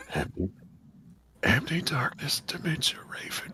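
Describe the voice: A raspy, put-on character voice at middle pitch and a moderate pace.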